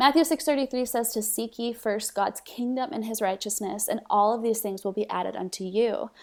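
In a very clean recording with a silent background, a woman with an American accent speaks in a plain, everyday voice, fairly high in pitch, with ordinary pitch variation, a fairly quick pace and hardly any pauses. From Mexico City, raised by US missionary parents. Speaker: social media ministry leader. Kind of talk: faith podcast conversation.

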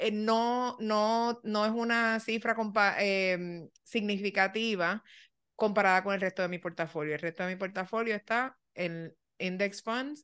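Against a quiet background, a woman speaks at a fairly slow pace. Her medium pitch shows ordinary variation. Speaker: podcast co-host. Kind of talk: casual chat.

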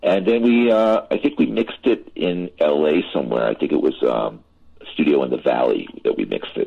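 A man is speaking. His pace stays moderate. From Philadelphia, US. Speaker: record producer. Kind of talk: interview.

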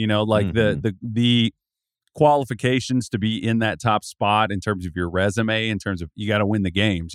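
With a normal speaking voice, a man talks at a fairly quick pace and a fairly low pitch. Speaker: college basketball analyst. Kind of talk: casual chat. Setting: remote from home desk.

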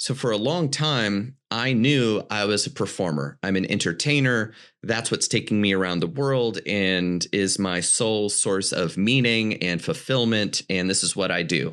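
An ordinary speaking voice, a man talks at a fairly slow pace with a fairly low pitch and lively intonation. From US South, western North Carolina mountains. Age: 30s. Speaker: mentalist and business consultant. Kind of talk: podcast interview. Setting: remote call.

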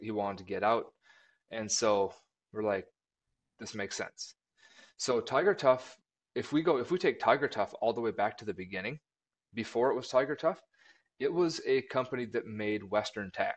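At a fairly quick pace, a man talks at a medium pitch with ordinary pitch variation. The background is quiet. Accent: Upper Midwest. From Minnesota (rural southwest). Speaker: marketing director. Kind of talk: casual chat.

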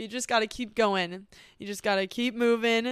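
The recording is very clean, with a silent background. A woman talks at a fairly high pitch with fairly even intonation. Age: 20s. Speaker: podcast host. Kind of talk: personal monologue.

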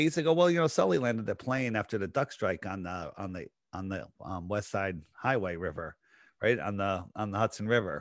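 A man speaks at a very fast pace with an American accent. His pitch swings very widely against a quiet background. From Connecticut, Fairfield County. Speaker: conspiracy podcaster. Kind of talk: casual interview.

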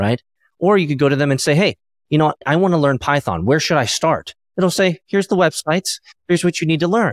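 Speaking at a very fast pace, a man with a fairly high pitch and ordinary pitch variation comes through with a dry, close sound with no echo. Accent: American. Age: 40s. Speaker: entrepreneur and venture capitalist. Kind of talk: interview conversation. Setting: video call.

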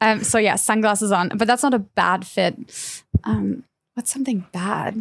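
Her voice fairly high with vocal fry, a woman speaks at a fairly slow pace with fairly even intonation. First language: German. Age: 30s. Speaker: fashion editor. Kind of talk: casual chat.

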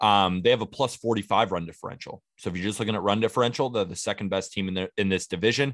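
A man rattles along at a very fast pace with hardly any pauses, fairly low in pitch and fairly even in intonation, in a dry, close sound with no echo. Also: very clean recording, silent background. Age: 20s. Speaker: baseball podcast host. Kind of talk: casual chat.

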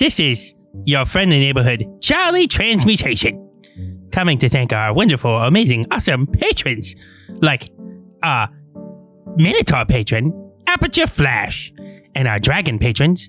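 A man performs a put-on character voice at a medium pitch. Faint music plays in the background. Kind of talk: comic sponsor read. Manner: upbeat, fast, chatty.

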